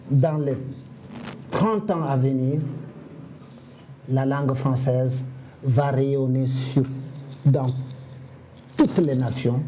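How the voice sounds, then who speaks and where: A man with a West African accent and a fairly high pitch speaks at a very slow pace, with audible room echo. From Senegal. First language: Fula (speaking French). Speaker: comedian and storyteller. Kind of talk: interview.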